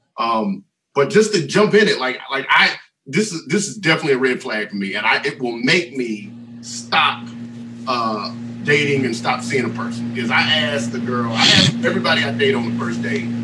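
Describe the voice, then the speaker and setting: The man's pitch is medium and varies in an ordinary way. He speaks fairly quickly in a plain, everyday voice. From US South. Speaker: mentor and relationship speaker. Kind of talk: casual podcast chat.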